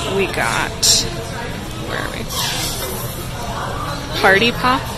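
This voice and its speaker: Clear music plays in the background of a dry recording with no echo, and the speech keeps a moderate pace. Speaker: travel vlogger. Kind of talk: casual vlog chat. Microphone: phone near.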